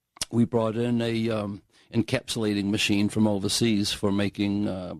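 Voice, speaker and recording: Over a quiet background, a man speaks at a moderate pace in a fairly low pitch, his intonation monotone and flat. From New Zealand or Australia. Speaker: franchise owner, shipping consultant. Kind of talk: radio interview. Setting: radio studio.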